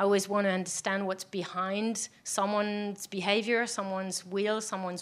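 A woman talks with a French accent. Her pitch is medium and her pace moderate. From France. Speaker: product design executive, panelist. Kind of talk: live panel discussion. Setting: stage with live audience.

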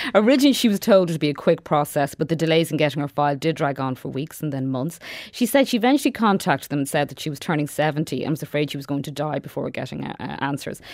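In an Irish accent, a woman speaks at a very fast pace with hardly any pauses, her very deep, low pitch showing ordinary variation and big swings in loudness, on a very clean recording with a silent background. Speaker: radio reporter. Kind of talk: radio feature report. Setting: studio.

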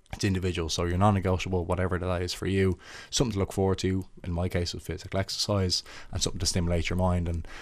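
On a very clean recording with a silent background, a man with a Dublin accent talks at a very fast pace in a very deep, low pitch. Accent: Dublin Irish. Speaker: footballer and mental health ambassador. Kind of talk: interview about mental health. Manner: halting, with repetitions.

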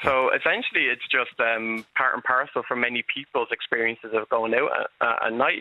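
The voice carries an Irish accent at a moderate pace. Its intonation stays fairly even. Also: man. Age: 30s. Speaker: health activist and PhD candidate. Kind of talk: radio interview. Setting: phone call.

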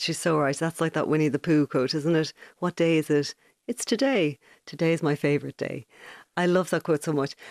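A woman's very deep, low voice in a Dublin accent, at a fairly quick pace with ordinary pitch variation and very even loudness, dry and close with no echo against a quiet background. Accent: Dublin Irish. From Ireland, Dublin (Ballybrack). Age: 40s. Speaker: journalist and novelist. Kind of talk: interview.

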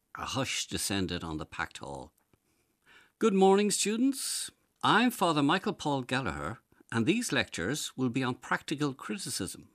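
Speaking at a moderate pace with an Irish accent, a man is heard on a very clean recording with a silent background and a dry, close sound with no echo. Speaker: essayist. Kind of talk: reading aloud.

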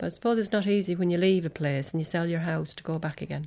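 Speaking very fast in an Irish accent, a woman uses a fairly low pitch and fairly even intonation. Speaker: singer's daughter. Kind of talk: interview reminiscence.

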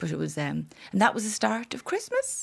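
A woman with a Dublin accent at a fairly quick pace, on a very clean recording with a silent background. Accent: Dublin Irish. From Ireland, Dublin. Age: 50s. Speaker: author. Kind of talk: casual chat. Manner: animated.

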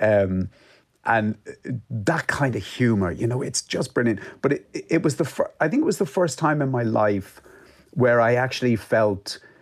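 In an Irish accent, a man speaks at a medium pitch and moderate pace. His intonation is lively. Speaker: author and journalist. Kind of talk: radio interview.

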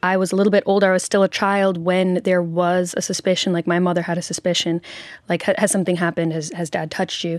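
A woman's ordinary speaking voice, fairly low in pitch and fairly even in intonation, in an American accent at a fairly quick pace, on a very clean recording with a silent background. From US, Nashville. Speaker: singer and author. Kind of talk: interview testimony. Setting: radio studio.

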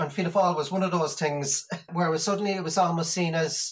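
A man talks at a fairly quick pace in a fairly high pitch. His intonation stays fairly even. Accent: Irish. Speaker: party canvasser. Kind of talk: interview.

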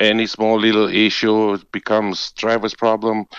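A man with a strong Romanian accent against a quiet background. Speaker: bus driver. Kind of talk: recorded interview.

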